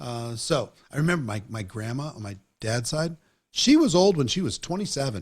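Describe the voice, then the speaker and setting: In a very clean recording with a silent background, a somewhat breathy man speaks at a moderate pace with very wide pitch swings and big swings in loudness. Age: 60s. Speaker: network marketing trainer and interviewer. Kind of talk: interview conversation.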